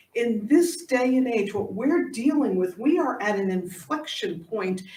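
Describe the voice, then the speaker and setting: With an American accent, a woman speaks in a somewhat breathy, fairly high voice that swings very widely in pitch. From Staten Island, New York. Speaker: pastor. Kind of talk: sermon delivered to a congregation.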